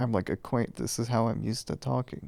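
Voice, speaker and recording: There is vocal fry in this man's voice as he speaks at a fairly quick pace. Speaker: video creator. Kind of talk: personal vlog monologue. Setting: lying in bed at home. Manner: mumbling; forced louder, projected.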